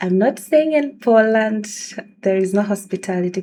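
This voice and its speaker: A woman with a Tanzanian accent speaks at a moderate pace in a dark, mellow tone. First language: Swahili. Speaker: video blogger. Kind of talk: casual vlog talk.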